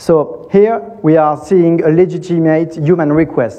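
With a French accent, a man speaks at a fairly high pitch, his pitch varying in an ordinary way. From France. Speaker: tech company co-founder and CTO. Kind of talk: conference talk.

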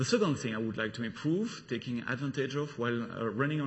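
A man's somewhat breathy, medium-pitched voice with a French accent and ordinary pitch variation. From Belgium. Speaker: solution architect giving a conference talk. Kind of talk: technical conference talk. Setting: conference stage with audience. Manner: halting, with frequent fillers.

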